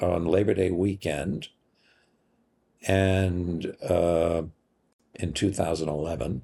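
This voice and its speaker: A man's very deep, low voice with a dark, mellow tone and vocal fry, in an American accent, ordinary pitch variation, and a very slow pace. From Massachusetts. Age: 80s+. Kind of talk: personal testimony interview.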